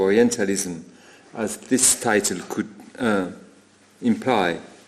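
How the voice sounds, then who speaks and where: A man speaks very slowly with a French accent. His intonation is lively. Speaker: art historian. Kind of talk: lecture. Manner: halting.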